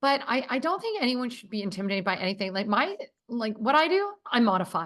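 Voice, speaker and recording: A woman's high, animated voice at a very fast pace, with very wide pitch swings. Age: 50s. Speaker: entrepreneur, company co-founder. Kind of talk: casual chat.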